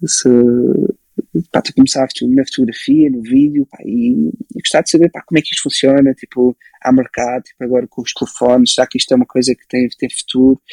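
A man speaks in an ordinary speaking voice at a medium pitch and moderate pace, with ordinary pitch variation. His loudness swings widely, and the sound is dry and close with no echo. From Portugal, moved from Belgium at age 6. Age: 20s. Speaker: photographer and filmmaker. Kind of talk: casual interview chat.

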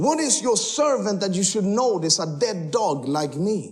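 Over noticeable background noise, a man with a high pitch speaks at a fairly slow pace in an animated tone with very wide pitch swings. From Sweden. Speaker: missionary preacher. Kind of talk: sermon ending in fervent, spoken prayer with congregation. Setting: church stage with audience. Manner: fervent, impassioned, earnest; humorous, animated.

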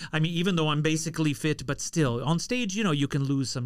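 In an American accent, a man talks at a fairly quick pace with lively intonation. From US, Los Angeles area. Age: 40s. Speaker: opera singer. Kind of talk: casual chat.

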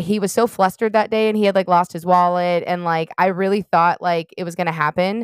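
A woman speaks with an unremarkable speaking voice at a fairly low pitch. Her fairly even intonation comes through a very clean recording with a silent background. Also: dry, close sound with no echo. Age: 30s. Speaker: podcast co-host. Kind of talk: casual chat.

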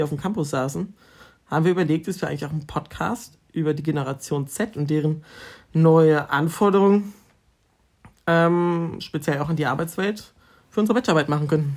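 In a very clean recording with a silent background, a man with a normal speaking voice talks fairly quickly at a fairly high pitch, with ordinary pitch variation. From northern Germany, near Osnabrück. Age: 20s. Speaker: university student, podcast co-host. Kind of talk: casual chat. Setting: at home.

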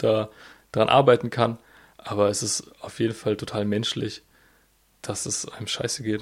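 A man speaks at a medium pitch in a flat, monotone delivery. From southwest Germany (Freiburg). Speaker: podcast co-host, student and delivery driver. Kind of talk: casual chat.

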